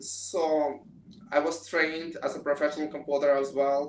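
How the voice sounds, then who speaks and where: The man's pitch is fairly high. Audible room echo surrounds his voice. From Russia, Moscow. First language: Russian. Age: 20s. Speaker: pianist and student. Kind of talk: interview. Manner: halting.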